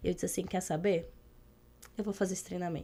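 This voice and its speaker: The voice has a dark, mellow tone and ordinary pitch variation, captured in a very clean recording with a silent background. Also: woman. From Brazil, interior of Rio Grande do Sul. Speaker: emotional intelligence and leadership trainer. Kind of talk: podcast interview.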